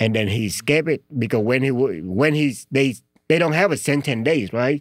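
A man with a Vietnamese accent, medium pitch and lively intonation, in a very clean recording with a silent background. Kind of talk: casual interview chat. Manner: halting.

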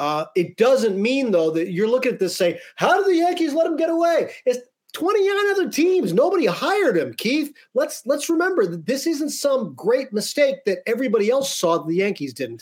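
Here a man talks in an extremely high pitch with very wide pitch swings. His pace is moderate. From Pennsylvania, about two hours west of Philadelphia. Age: 50s. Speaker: sports podcast host. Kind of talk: casual chat.

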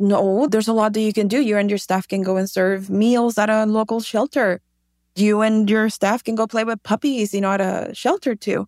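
A woman with a Spanish accent talks at a moderate pace and a fairly high pitch, with fairly even intonation and very even loudness, in a very clean recording with a silent background and a dry, close sound with no echo. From Mexico, Tijuana. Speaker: shoe company founder. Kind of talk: interview.

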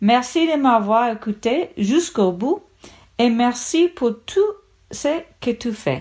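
With an English accent, a woman speaks very slowly at a high pitch, taking long, frequent pauses as her pitch swings very widely. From United States. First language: English (speaking French). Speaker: podcast listener, French learner. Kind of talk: recorded listener testimony.

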